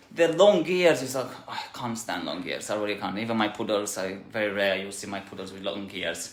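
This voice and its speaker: Talking at a fairly quick pace with hardly any pauses, a man uses a fairly low pitch, lively intonation and big swings in loudness, with audible room echo and noticeable background noise. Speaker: dog groomer and salon owner. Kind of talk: tutorial. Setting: grooming salon. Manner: fast; hesitant, many fillers.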